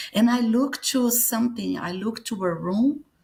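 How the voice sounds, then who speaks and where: Here is a woman with a Brazilian accent and a somewhat breathy voice. Her pitch varies in an ordinary way. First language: Portuguese. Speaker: near-death experience survivor and author. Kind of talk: interview testimony. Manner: halting, searching for English words.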